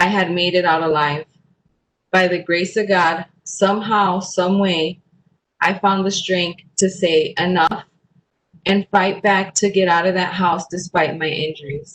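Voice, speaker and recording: A woman's medium-pitched voice in an American accent, fairly slow and monotone, with flat intonation. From Chicago, US Midwest. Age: 30s. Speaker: domestic violence survivor. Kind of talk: testimony.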